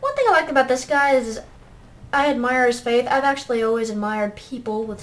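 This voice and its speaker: Quiet and high-pitched, a woman talks at a moderate pace with ordinary pitch variation. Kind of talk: gameplay commentary. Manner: quiet, hard to hear.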